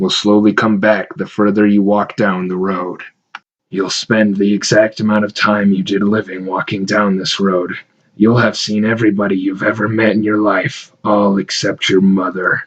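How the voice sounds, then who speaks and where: At a moderate pace, a man uses a put-on character voice pitched fairly low. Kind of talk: horror narration. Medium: read story. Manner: measured, ominous.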